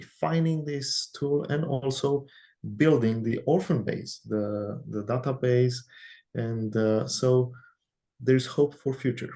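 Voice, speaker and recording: A non-native accent colors the speech. Delivery runs fairly slowly. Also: man. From Romania. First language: Romanian. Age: young. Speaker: researcher, IT background. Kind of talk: interview. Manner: halting.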